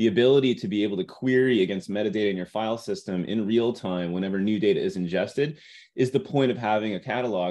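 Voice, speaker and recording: With lively intonation, a man talks at a very fast clip. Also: quiet background. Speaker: tech company engineer presenting product. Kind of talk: webinar product presentation.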